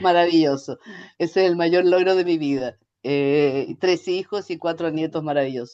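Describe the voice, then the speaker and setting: Someone with a Chilean accent speaks at a moderate pace. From Chile, Santiago. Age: 60s. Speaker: ergonomics researcher and consultant. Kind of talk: interview. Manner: hesitant, many fillers.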